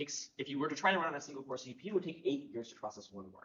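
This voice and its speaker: A man talks very fast at a fairly high pitch. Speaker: neuroscience researcher. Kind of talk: conference talk. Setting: conference workshop.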